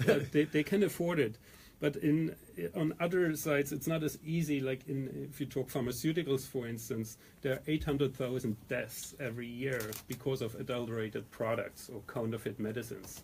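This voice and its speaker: Somewhat breathy, a man with a German accent speaks at a fairly quick pace and a medium pitch, with ordinary pitch variation. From Germany. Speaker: company founder and CEO. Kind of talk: radio interview. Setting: radio studio.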